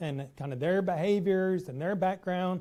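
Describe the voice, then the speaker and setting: The voice has a dark, mellow tone and a Texas accent. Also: man. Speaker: professor. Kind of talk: lecture.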